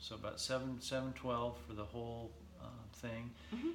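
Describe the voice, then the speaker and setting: A man with an American accent talks at a fairly quick pace, his medium pitch carried in fairly even intonation. Noticeable background noise is present. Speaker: physical therapist. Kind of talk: casual interview. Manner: casual, chatty.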